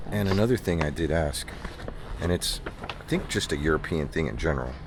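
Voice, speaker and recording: Over noticeable background noise and audible room echo, a man talks at a moderate pace in a very deep, low voice. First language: Spanish. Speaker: vlogger. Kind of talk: travel vlog.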